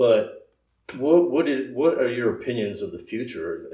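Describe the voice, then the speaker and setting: A man talks at a moderate pace. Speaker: podcast host. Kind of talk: casual chat.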